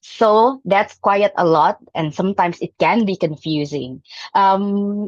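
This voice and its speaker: A woman with an Indonesian accent, fairly slow and with lively intonation, in a dry, close sound with no echo. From Indonesia (Jambi, Sumatra). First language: Jambi Malay. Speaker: club member giving a speech. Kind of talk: prepared speech. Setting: hybrid club meeting. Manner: hesitant, with fillers.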